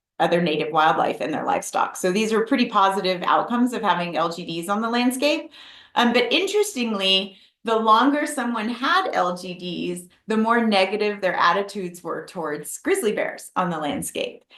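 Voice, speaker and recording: A woman speaks with a fairly high pitch and lively intonation. Audible room echo surrounds her voice. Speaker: wildlife researcher. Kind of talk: webinar lecture. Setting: online webinar. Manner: fast.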